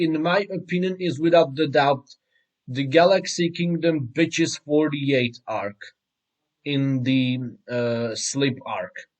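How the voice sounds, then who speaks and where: A man with a non-native accent, very slow pace and lively intonation. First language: not English. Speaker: anime commentary youtuber. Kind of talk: reaction rant. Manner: halting.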